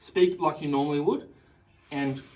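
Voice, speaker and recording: A man's fairly high voice at a moderate pace, fairly even in intonation, with audible room echo. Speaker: teacher. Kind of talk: tutorial. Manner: loud.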